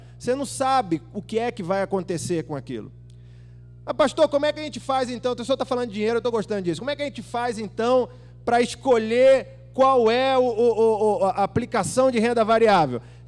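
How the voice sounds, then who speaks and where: Over music in the background, a man speaks at a fairly quick pace with a high pitch and ordinary pitch variation. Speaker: pastor. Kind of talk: sermon. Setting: church. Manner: animated, conversational.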